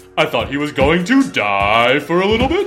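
A put-on character voice at a middle pitch with very wide pitch swings and a moderate pace, over clear background music. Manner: announcer-style delivery.

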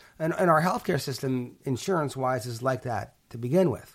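On a very clean recording with a silent background, a man with an American accent talks at medium pitch and a moderate pace, with ordinary pitch variation. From Pittsburgh, Pennsylvania. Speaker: healthcare company CEO. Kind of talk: interview. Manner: hesitant, with frequent fillers.

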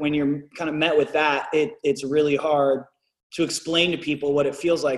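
With an unremarkable speaking voice, a man talks at a moderate pace in a fairly high pitch and fairly even intonation. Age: 30s. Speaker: musician and rapper. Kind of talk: casual chat.

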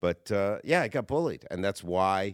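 An ordinary speaking voice from a man, fairly low in pitch, at a moderate pace, with a dry, close sound, no echo, and a very clean recording over a silent background. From Canada. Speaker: comedian. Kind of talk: casual chat. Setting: studio.

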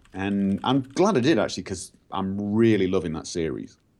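A man talks with lively intonation over music in the background. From northern England. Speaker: game modder and YouTuber. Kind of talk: casual chat. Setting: video call.

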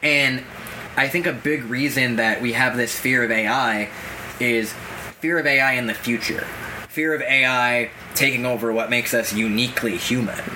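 A man with an American accent speaks at a moderate pace in a medium pitch, his loudness very even, with noticeable background noise and audible room echo. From Massachusetts, US. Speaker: podcast co-host. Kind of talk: casual discussion.

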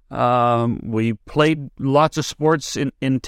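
Recorded dry and close with no echo against a silent background, the speaker talks with a Canadian accent in a very clean take. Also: man. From British Columbia interior, Canada. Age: 60s. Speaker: sports broadcaster. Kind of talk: interview. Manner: halting, many repeated words.

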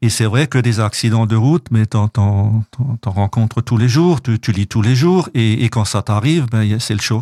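A man with a dark, mellow tone speaks at a fairly slow pace with hardly any pauses and very even loudness. The recording is very clean, with a silent background. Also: medium pitch for a man, ordinary pitch variation. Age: 60s. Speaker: association president and author. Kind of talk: radio interview. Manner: halting, many repetitions and hesitations.

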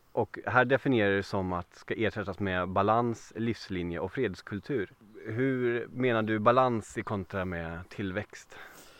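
At a fairly slow pace, a man with a fairly low pitch speaks with ordinary pitch variation and big swings in loudness. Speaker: podcast host. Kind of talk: interview.

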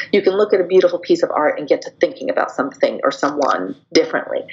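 A woman's voice comes through with noticeable background noise behind it. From US Northwest, Seattle. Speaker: PR agency founder. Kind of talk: interview.

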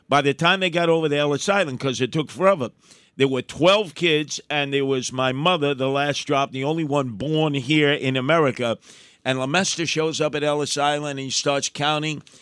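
A man speaks at a fairly quick pace in a normal speaking voice. His pitch is fairly high, and his intonation stays fairly even. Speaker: political commentator. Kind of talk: conversational commentary, storytelling.

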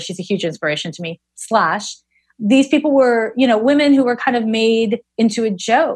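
Fairly high-pitched, somewhat breathy woman with lively intonation at a fairly quick pace. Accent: Canadian. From Canada, Montreal. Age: 40s. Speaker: astrologer and psychic medium. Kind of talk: interview conversation.

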